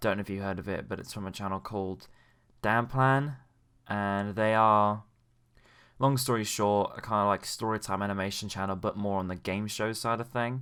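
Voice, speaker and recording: On a very clean recording with a silent background, a man with an English accent speaks at a moderate pace in a fairly low voice with ordinary pitch variation. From England. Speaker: YouTube commentator. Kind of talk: casual commentary monologue. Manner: hesitant, many fillers.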